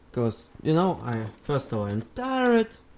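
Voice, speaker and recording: This clip features a man speaking. Noticeable background noise runs underneath. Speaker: gaming YouTuber. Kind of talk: casual video outro.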